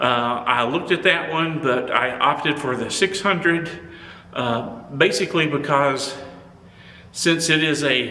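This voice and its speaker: At a fairly slow pace, the speech has ordinary pitch variation, with audible room echo and noticeable background noise. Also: man. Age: 70s. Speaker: photography YouTuber. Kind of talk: product review. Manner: halting.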